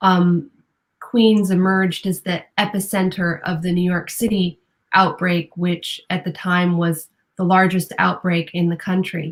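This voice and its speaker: A woman's fairly low, somewhat breathy voice at a fairly slow pace, with monotone, flat intonation. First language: Spanish. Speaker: newspaper reporter. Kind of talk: interview. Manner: hesitant, many fillers.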